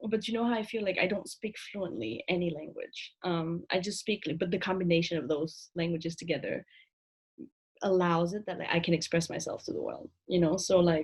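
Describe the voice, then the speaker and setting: Somewhat breathy at a medium pitch, a woman speaks at a fairly quick pace with ordinary pitch variation. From Vietnam. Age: 20s. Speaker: author. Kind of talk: casual chat.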